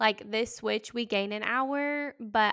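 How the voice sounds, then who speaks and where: A woman speaks at a fairly high pitch and a fairly slow pace, her tone bright and sharp. The recording is very clean with a silent background. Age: 20s. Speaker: podcast host and teacher. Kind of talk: casual chat.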